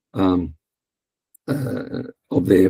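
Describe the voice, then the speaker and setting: The man's voice has a dark, mellow tone. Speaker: linguistics researcher. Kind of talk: conference talk. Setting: online conference. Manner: hesitant, many fillers.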